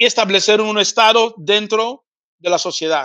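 A raised, projected voice with a bright, sharp tone moves at a fairly slow pace. The background is quiet. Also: man. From Spain. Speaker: pan-Africanist activist and TV presenter. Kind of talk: interview lecture.

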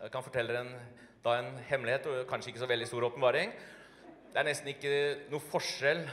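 Over noticeable background noise, a man speaks with fairly even intonation and a Norwegian accent. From Norway. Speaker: church host. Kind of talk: welcoming introduction in church. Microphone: handheld.

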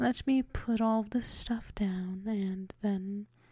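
A woman speaks very slowly in a fairly high, somewhat breathy voice with a dark, mellow tone and ordinary pitch variation. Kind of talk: ASMR role play. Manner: whispered.

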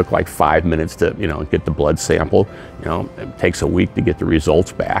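A man talks at a fairly quick pace in a dry sound with no echo, faint music in the background. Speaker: cancer survivor. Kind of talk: interview answer. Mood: earnest, grateful. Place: hall.

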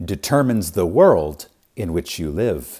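A man speaks at a very deep, low pitch with very wide pitch swings and vocal fry. His tone is dark and mellow, in a very clean recording with a silent background. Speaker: audiobook narrator. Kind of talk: audiobook reading. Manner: reverent, measured with pauses and emphasis.

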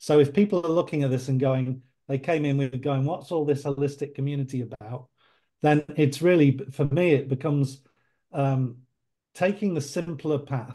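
Against a quiet background, a man with a fairly high pitch talks at a moderate pace, his dark, mellow tone somewhat breathy and his intonation fairly even. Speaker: life coach. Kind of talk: roundtable discussion. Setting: video call. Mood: thoughtful, hesitant. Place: home room. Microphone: video call.

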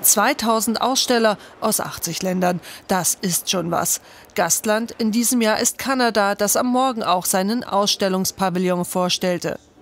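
Speaking at a fairly slow pace, a woman with an unremarkable speaking voice holds a medium pitch with ordinary variation and very even loudness. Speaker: news reporter. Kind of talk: news report voiceover.

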